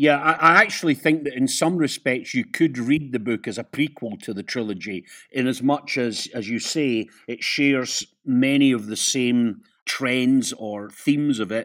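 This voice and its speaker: In a very clean recording with a silent background, a man with a Scottish accent speaks at medium pitch and a moderate pace with ordinary pitch variation. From Scotland, Perth. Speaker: author and broadcaster. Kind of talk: interview.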